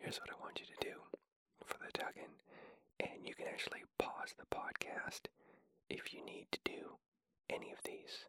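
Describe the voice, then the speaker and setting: The voice is whispering, with long, frequent pauses. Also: moderate pace. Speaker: podcast host. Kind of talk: whispered ramblings. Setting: home recording with sensitive microphone.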